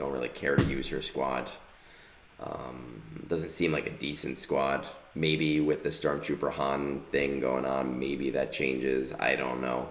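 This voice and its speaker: A man at a fairly slow pace, very deep and low in pitch, flat and monotone, with audible room echo. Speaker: gaming streamer. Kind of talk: casual chat.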